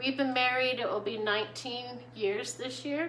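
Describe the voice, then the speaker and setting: A squeaky voice with ordinary pitch variation comes through audible room echo and noticeable background noise. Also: woman. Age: middle-aged. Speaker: gardening vlogger. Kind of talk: casual chat. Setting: at home, filming vertically. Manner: hesitant, many fillers.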